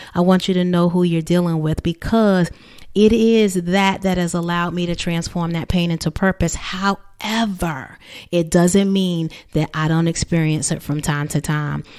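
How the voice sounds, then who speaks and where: A woman with an American accent, fairly low in pitch with fairly even intonation, at a moderate pace on a very clean recording with a silent background. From New Jersey. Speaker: therapist and coach, podcast host. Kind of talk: motivational podcast monologue.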